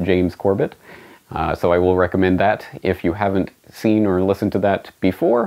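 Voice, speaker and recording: A man with a Canadian accent has a very deep, low pitch and fairly even intonation. He talks at a fairly quick pace against a quiet background. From Canada. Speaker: independent journalist and web host; independent journalist, web host. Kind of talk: scripted monologue to camera.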